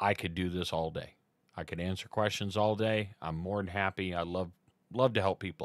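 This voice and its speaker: A man speaks against a quiet background, the sound dry with no echo. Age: 40s. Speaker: live streamer. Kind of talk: tutorial. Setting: live stream from home computer setup. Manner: casual, many filler words. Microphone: studio mic.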